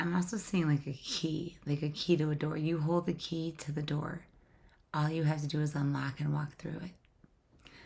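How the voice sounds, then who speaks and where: A woman speaks at a moderate pace in a very deep, low voice that is somewhat breathy, her intonation monotone and flat. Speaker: tarot reader. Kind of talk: tarot reading. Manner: casual, repetitive.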